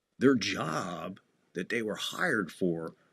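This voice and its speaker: A man with a New Jersey accent speaks over music in the background. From New Jersey (Asbury Park). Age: 60s. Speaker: wrestling podcast host. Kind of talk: casual chat. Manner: animated.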